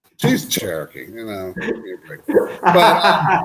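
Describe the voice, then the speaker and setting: Speaking very slowly, a man talks with an American accent. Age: 50s. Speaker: guest, car mechanic. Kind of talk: casual chat. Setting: livestream video call.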